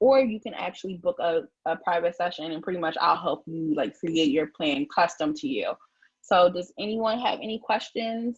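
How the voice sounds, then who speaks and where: A woman's somewhat breathy, fairly low voice at a moderate pace, with lively intonation. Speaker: publicist. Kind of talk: live stream tutorial. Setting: live stream. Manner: casual, filler-heavy.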